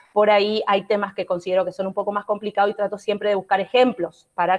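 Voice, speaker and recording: At a very fast pace, a woman speaks at a medium pitch in a dry, close sound with no echo. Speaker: law professor. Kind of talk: online lecture.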